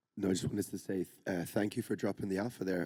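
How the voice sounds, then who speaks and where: Speaking in a Scottish accent, a man has a dark, mellow tone and fairly even intonation. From Scotland. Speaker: audience member. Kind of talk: audience question.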